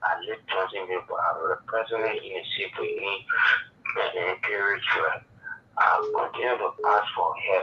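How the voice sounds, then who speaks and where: Speech comes at a moderate pace. Noticeable background noise sits behind it. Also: man. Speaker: caller. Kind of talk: phone-in plea for help. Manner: halting.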